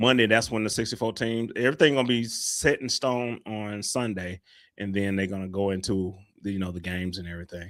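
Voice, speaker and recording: A man speaks at a fairly quick pace. His pitch moves in an ordinary way. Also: fairly low pitch for a man. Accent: Southern US. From US South, Little Rock, Arkansas. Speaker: podcast co-host. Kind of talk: casual chat.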